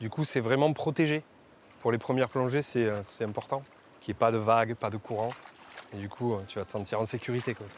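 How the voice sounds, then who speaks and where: A man of medium pitch speaks at a fairly quick pace in a southwestern French accent, with ordinary pitch variation and big swings in loudness. Long, frequent pauses break up the speech over noticeable background noise. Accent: southwest French. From southwest France, Marmande. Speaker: dive instructor. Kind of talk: casual chat.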